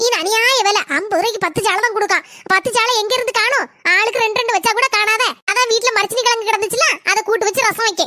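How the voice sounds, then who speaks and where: Putting on a cartoonish character voice, a woman speaks at an extremely high pitch and a fairly quick pace with fairly even intonation. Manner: blunt, argumentative.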